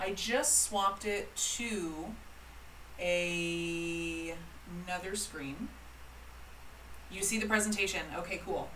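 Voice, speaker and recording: The speech comes at a very slow pace with long, frequent pauses, amid audible room echo and noticeable background noise. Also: woman, medium pitch for a woman, ordinary pitch variation. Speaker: calligrapher and business teacher. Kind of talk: live-streamed presentation. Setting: livestream with online chat. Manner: casual, chatty with many fillers.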